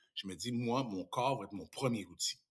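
In an ordinary speaking voice, a man keeps a medium pitch and a moderate pace. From Quebec (Saint-Tite, Mauricie). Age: 50s. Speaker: radio host and former handball player. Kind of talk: casual interview; show plug.

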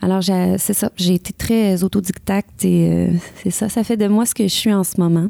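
A woman speaks at a moderate pace in a dark, mellow tone. Her intonation is monotone and flat, with a dry, close sound and no echo. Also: medium pitch for a woman, very even loudness. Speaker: country singer. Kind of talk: interview.

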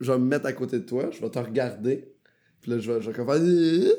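Speaking at a fairly quick pace, a man uses a medium pitch and ordinary pitch variation in a dark, mellow tone. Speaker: comedian. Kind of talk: casual chat.

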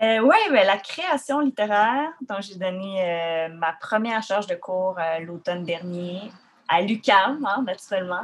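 This woman talks very slowly at a medium pitch. Her intonation is lively. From Quebec, Rimouski (Bas-Saint-Laurent). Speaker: poet and musician. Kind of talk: interview. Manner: halting, many fillers.

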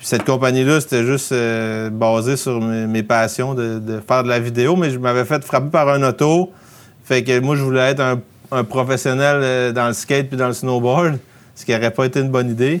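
A man talks with fairly even intonation at a moderate pace and medium pitch, in a plain, everyday voice. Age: 30s. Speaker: outdoor filmmaker and production company founder. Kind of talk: casual interview.

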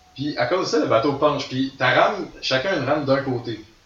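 The speaker talks at a moderate pace with ordinary pitch variation. Noticeable background noise runs underneath. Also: man. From Quebec, Gaspésie. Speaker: ultimate frisbee player. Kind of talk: casual chat. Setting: studio.

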